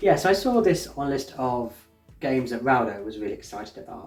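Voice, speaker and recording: A man with an English accent talks at a very fast pace. His pitch is medium and his intonation lively. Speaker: board game reviewer. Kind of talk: casual chat. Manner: halting.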